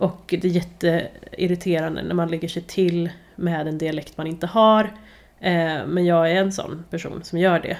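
Her voice is fairly low and monotone, with flat intonation. This woman speaks at a moderate pace. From Värmland, Sweden. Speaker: podcast host, journalist. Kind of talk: casual chat.

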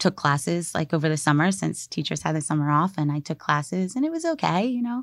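In a dry, close sound with no echo, a woman with an ordinary speaking voice talks at a fairly quick pace, her fairly low pitch carrying lively intonation. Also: very clean recording, silent background. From Maryland, US. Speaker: spoken word artist and teacher. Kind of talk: interview conversation. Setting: studio. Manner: casual with many fillers.

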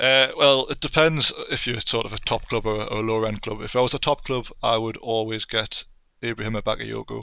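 A man with a Geordie accent speaks at a medium pitch and a fairly quick pace, with a bright, sharp tone and fairly even intonation. The recording is very clean, with a silent background. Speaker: football video game enthusiast and writer. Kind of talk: casual chat.

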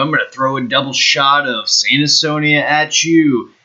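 His pitch is fairly high for a man. He talks at a moderate pace. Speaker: radio DJ. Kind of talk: radio DJ patter between songs, upbeat show intro and song announcements. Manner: casual, enthusiastic, hyping the next tracks.

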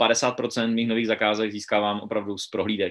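The speaker is a man with a medium-pitched voice. He talks at a moderate pace. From Wallachia region, eastern Moravia (Czechia). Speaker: real estate agent. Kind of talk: interview.

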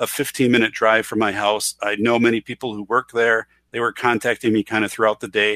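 Recorded very cleanly against a silent background, a man with an Upper Midwest accent, a medium pitch and a bright, sharp tone talks at a moderate pace in a dry, close sound with no echo. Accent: Upper Midwest American. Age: 40s. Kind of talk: casual chat.

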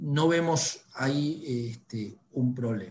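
A man talks at a fairly high pitch with ordinary pitch variation. His voice is somewhat breathy. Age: 40s. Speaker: newspaper executive. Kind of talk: interview.

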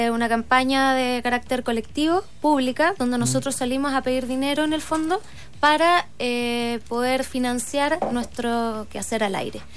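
A woman with a high pitch speaks in a Chilean accent with ordinary pitch variation. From southern Chile (Osorno). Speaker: entrepreneur and radio show founder. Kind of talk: radio interview.

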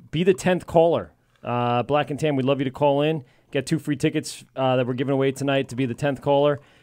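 This man has an unremarkable speaking voice, fairly high in pitch with fairly even intonation. He talks fairly quickly against a quiet background. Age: 30s. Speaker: podcast host. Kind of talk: casual chat. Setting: studio.

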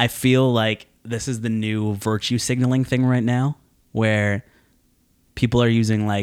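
A plain, everyday voice with ordinary pitch variation keeps a moderate pace in a very clean recording with a silent background. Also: man. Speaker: podcast host. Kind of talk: casual chat.

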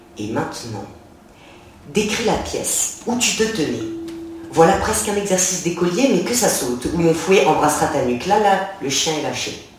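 Against noticeable background noise, a man with a high pitch delivers his lines in a theatrical tone at a moderate pace with lively intonation. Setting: bookshop reading in front of an audience. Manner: theatrical, sensual and mocking, shifting between taunting and tender.

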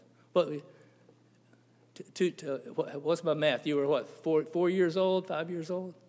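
A man's high-pitched voice at a fairly slow pace, fairly even in intonation, with long, frequent pauses. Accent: American. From US South, Tampa, Florida. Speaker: Baptist preacher. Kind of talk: sermon. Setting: church. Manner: halting, frequent repeats and fillers.

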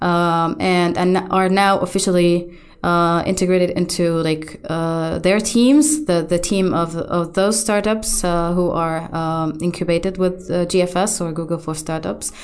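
A woman with an Arabic accent, fairly low pitch, fairly even intonation, a fairly slow pace and hardly any pauses, amid audible room echo. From Gaza, Palestine. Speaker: architect turned web developer. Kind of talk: interview.

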